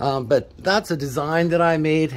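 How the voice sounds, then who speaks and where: A man talks with ordinary pitch variation. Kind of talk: tutorial. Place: garage.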